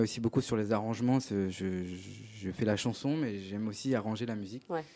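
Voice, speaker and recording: The recording is very clean, with a silent background. A man speaks at a fairly slow pace in a fairly low voice. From Paris region, France. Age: young. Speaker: singer-songwriter. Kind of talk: interview. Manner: halting.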